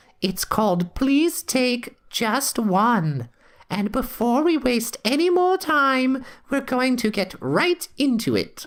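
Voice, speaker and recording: The voice sounds female and is a put-on character voice. It is high-pitched and very slow. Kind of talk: comic overacting. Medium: audio drama. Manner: prim, teasing, chatty.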